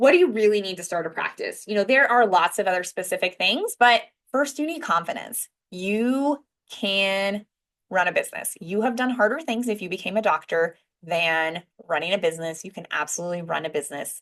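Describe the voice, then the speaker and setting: Against a quiet background, a woman talks at a fairly quick pace with a medium pitch and lively intonation. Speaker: physician and business coach. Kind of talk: webinar talk. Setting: live online webinar. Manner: fast.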